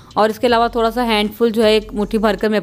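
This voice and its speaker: Faint music plays in the background as a woman speaks. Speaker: home cooking channel host. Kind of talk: tutorial. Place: kitchen.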